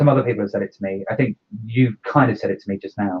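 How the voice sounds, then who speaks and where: Somewhat breathy and with ordinary pitch variation, a man speaks at a very fast pace. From Ireland. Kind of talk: casual chat. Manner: halting.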